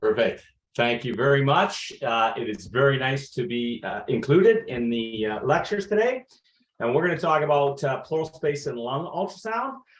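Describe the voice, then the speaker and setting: Somewhat breathy and fairly high in pitch, a man talks at a moderate pace with very wide pitch swings. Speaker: veterinary lecturer. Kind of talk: lecture.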